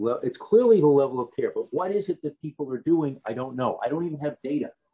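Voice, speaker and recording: A man with an American accent, a fairly high pitch, a somewhat breathy voice, lively intonation and a very fast pace. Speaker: professor. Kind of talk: lecture.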